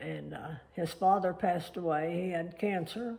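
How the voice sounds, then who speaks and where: A woman speaks in a fairly low, dark, mellow voice with fairly even intonation. She goes at a fairly slow pace, with audible room echo. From Oklahoma. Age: 80s+. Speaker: elderly woman recounting family history. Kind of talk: oral history interview. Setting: family home. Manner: halting.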